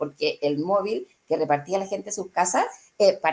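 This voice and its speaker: Medium pitch from a woman, delivered fairly quickly. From Chile. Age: 60s. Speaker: journalist. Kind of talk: interview answer.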